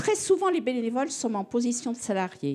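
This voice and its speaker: Her tone dark and mellow, a woman speaks at a moderate pace and a fairly high pitch on a very clean recording with a silent background. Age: 70s. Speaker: audience member, longtime activist. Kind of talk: public debate.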